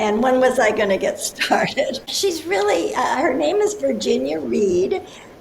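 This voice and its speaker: Audible room echo and noticeable background noise around a speaking woman. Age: 80s+. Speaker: author and life coach. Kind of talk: interview.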